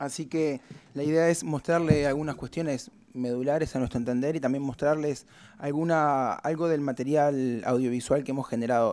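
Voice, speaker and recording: With a dark, mellow tone, the man's pitch moves an ordinary amount. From Uruguay. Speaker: researcher; presenter. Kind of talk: conference talk. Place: meeting room. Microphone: podium.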